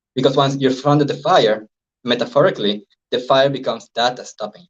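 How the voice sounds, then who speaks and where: Speaking at a very fast pace, a man's somewhat breathy voice sits at medium pitch, with ordinary pitch variation and big swings in loudness. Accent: Venezuelan. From Venezuela. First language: Spanish. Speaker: life coach and hypnosis trainer. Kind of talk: interview.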